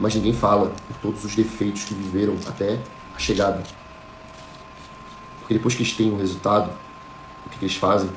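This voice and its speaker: A man with a fairly low pitch talks at a fairly quick pace in a monotone, flat intonation, with long, frequent pauses. The recording has audible room echo and noticeable background noise. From Florianópolis, Brazil. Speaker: motivational speaker. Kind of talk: motivational talk.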